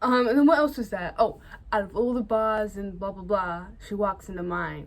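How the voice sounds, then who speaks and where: The woman talks at a moderate pace. She has a British accent. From Britain. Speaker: film vlogger. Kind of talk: casual vlog chat. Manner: casual, hesitant with fillers.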